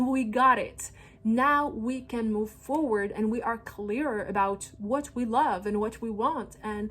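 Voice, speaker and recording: A woman at a fairly high pitch with a non-native accent, an animated tone, ordinary pitch variation and a fairly slow pace. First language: not English. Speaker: holistic astrologer. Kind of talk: astrology forecast monologue.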